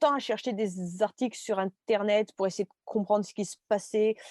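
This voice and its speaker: A woman at medium pitch with a dark, mellow tone, fairly quick in pace, in a dry, close sound with no echo. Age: 30s. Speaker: stroke survivor and art teacher. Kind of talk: interview. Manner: halting.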